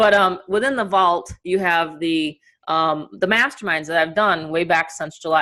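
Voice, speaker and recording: A woman's animated, bright and sharp voice in a New York accent, fairly low in pitch, at a moderate pace. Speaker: online marketing coach. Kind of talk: webinar presentation. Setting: video call.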